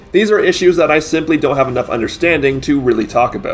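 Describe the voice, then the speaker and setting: Music plays behind a man who talks very fast. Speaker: gaming commentator. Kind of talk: scripted narration. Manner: few pauses.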